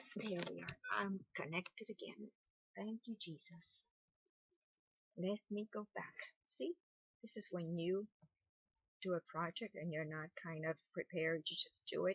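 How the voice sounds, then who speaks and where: Mumbling at a fairly slow pace with long, frequent pauses, a woman speaks at a medium pitch, somewhat breathy, with ordinary pitch variation. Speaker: crochet tutorial creator. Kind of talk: tutorial. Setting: sitting on bed at home.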